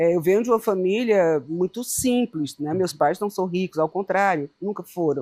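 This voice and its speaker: At a moderate pace with hardly any pauses, a woman speaks at a medium pitch. Her tone is dark and mellow, with ordinary pitch variation. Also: dry, close sound with no echo. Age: 60s. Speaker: founder of an arts education organization. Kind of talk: interview.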